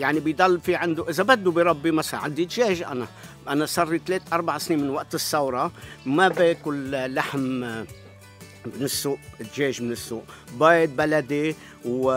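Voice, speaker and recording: Over faint background music, a man talks at a moderate pace with ordinary pitch variation in a dry sound with no echo. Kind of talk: interview answer. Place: garden. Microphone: phone near.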